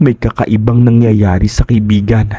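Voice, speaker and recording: A man's voice has a dark, mellow tone, fairly low pitch and somewhat breathy quality. His intonation is monotone and flat, with a dry, close sound and no echo. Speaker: horror story narrator. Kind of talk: scripted narration.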